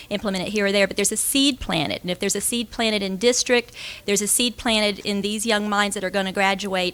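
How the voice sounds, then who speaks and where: Talking at a very fast pace, a woman with a Southern accent uses a medium pitch and ordinary pitch variation. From Florida, US South. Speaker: school director, aerospace engineer. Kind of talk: conference talk. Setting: stage with audience.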